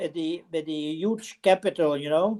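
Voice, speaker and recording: Delivered at a fairly slow pace, the speech has a Dutch accent and ordinary pitch variation. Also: woman. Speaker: relative on family call. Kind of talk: casual chat. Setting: video call.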